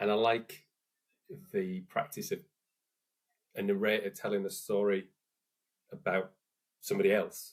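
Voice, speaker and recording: In a northern English accent, a man speaks at a moderate pace. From northern England, Hull. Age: 40s. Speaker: musician. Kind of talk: interview. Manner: careful enunciation.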